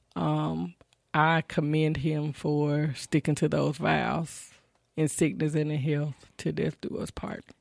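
A woman speaks at a very slow pace in a Southern US accent. The sound is dry and close, with no echo. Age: 30s. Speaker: family caregiver. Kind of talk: interview. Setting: studio.

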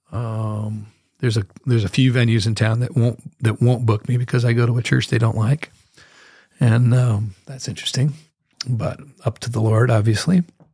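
A man's somewhat breathy voice has a dark, mellow tone, medium pitch and fairly even intonation. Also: moderate pace. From US Northwest, Moscow, Idaho. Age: 60s. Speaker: professional musician. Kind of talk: casual chat. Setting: studio.

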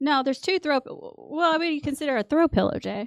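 A woman with a Texan accent talks at a very fast pace with lively intonation on a very clean recording that has a silent background and a dry, close sound with no echo. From West Texas. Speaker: podcast guest. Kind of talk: casual chat. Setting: studio.

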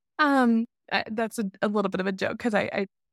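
A woman with an American accent speaks at a fairly quick pace in a plain, everyday voice with ordinary pitch variation. The recording is very clean, with a silent background and a dry, close sound with no echo. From Alabama, US South. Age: 30s. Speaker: podcast co-host. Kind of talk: casual interview chat.

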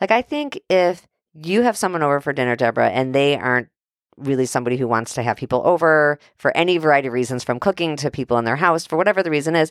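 Talking at a very fast pace, a woman uses a very deep, low pitch and lively intonation. The very clean recording has a silent background and a dry, close sound with no echo. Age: 40s. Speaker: podcast host. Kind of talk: casual chat. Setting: home studio.

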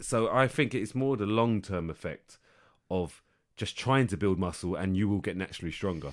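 An ordinary speaking voice with ordinary pitch variation moves at a fairly quick pace. The recording is very clean, with a silent background. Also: man. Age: 30s. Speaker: fitness podcast co-host. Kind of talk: casual chat; tutorial.

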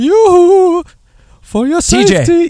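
An extremely high-pitched put-on character voice with a Nordic accent

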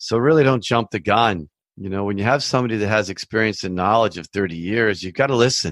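A man's fairly low voice at a very fast pace, dry and close with no echo, over a quiet background. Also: ordinary pitch variation. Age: 50s. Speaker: mortgage broker and podcast host. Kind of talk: solo educational podcast monologue. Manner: casual, conversational.

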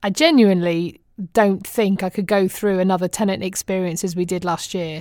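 Moderately paced speech with a British accent on a very clean recording with a silent background. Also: woman. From England. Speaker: expat audio diarist. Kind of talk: personal audio diary monologue. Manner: chatty, often laughing.

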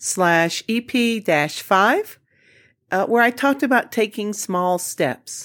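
A woman with a Southern US accent, lively intonation and a fairly slow pace, on a very clean recording with a silent background. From US Deep South, Jackson, Mississippi. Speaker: podcast host. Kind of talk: solo podcast monologue.

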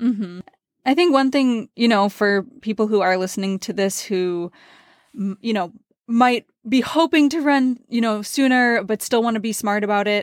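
An unremarkable speaking voice with ordinary pitch variation comes at a moderate pace, the sound dry and close with no echo on a very clean recording with a silent background. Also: woman, fairly high pitch for a woman. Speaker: podcast host and pro triathlete. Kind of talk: casual interview.

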